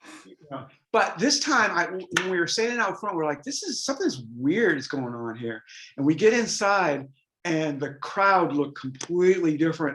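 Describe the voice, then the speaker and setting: At a moderate pace, a man speaks at a high pitch, his voice swinging very widely in pitch and greatly in loudness. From US Northeast (rural New Hampshire). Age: 60s. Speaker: rock guitarist. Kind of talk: interview, casual chat.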